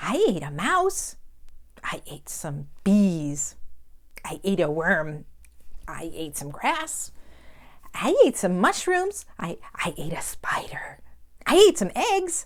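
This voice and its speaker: In a put-on character voice, the speaker goes very slowly, with long, frequent pauses. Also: woman, medium pitch for a woman. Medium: read story. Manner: giggly.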